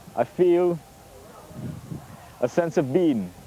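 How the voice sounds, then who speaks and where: A man with a high pitch amid noticeable background noise. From Trinidad. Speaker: music producer. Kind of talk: casual chat.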